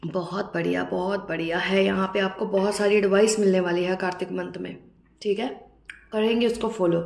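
A woman speaks at a medium pitch and a moderate pace, her slightly mellow tone touched with vocal fry and her intonation fairly even.

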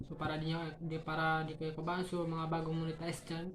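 Fairly low-pitched female speech in a room with audible echo. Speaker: YouTube vlogger giving tips to other creators. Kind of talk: casual tutorial vlog. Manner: halting, stumbling over words.

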